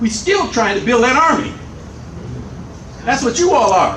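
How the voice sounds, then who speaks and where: A man's animated, extremely high-pitched voice with very wide pitch swings, audible room echo and noticeable background noise. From US Midwest, Chicago. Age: 80s+. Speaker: political educator. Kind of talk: lecture to activists.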